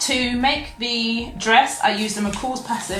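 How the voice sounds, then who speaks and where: A woman at a fairly slow pace, with audible room echo and music in the background. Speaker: sewing vlogger. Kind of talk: casual vlog show-and-tell.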